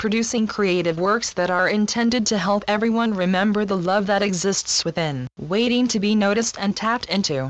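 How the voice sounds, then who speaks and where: Ordinary pitch variation runs through what is a normal speaking voice. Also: woman. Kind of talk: channeled spiritual message reading.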